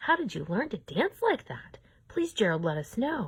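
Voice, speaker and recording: Using a put-on character voice, a woman speaks at a moderate pace, fairly high-pitched and with very wide pitch swings. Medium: read story.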